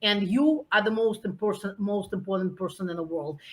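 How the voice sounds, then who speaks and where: Here a woman talks at a moderate pace. She has a Russian accent. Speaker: nonprofit founder. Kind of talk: interview. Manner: animated.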